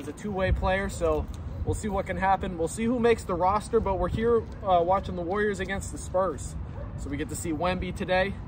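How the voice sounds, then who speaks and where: Over noticeable background noise, the voice moves at a fairly quick pace with fairly even intonation and a dry sound with no echo. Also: man, high pitch for a man. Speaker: sports fan vlogger. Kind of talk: casual vlog chat. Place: street. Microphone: phone near.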